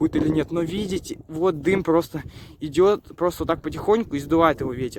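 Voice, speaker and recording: Fairly even intonation marks this man's high-pitched speech. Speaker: YouTube vlogger. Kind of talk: casual vlog commentary.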